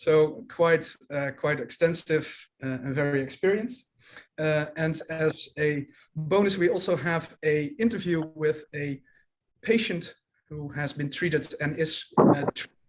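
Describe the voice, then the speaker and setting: A man with a Dutch accent and a fairly high pitch speaks at a fairly slow pace with ordinary pitch variation. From Netherlands. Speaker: commercial manager. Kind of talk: webinar presentation. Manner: halting, many fillers.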